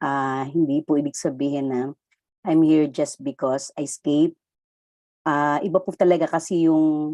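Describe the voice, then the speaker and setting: A woman with a Filipino accent speaks at a moderate pace in a very deep, low pitch with a dark, mellow tone and fairly even intonation, in a dry, close sound with no echo. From Philippines. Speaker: audience member at a forum. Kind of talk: forum question.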